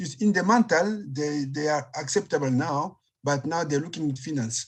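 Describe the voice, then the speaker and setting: This man has a fairly high pitch, somewhat breathy, in a Congolese accent. His pitch varies in an ordinary way. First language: French. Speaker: palliative care physician. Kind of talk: panel discussion. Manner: slow; halting.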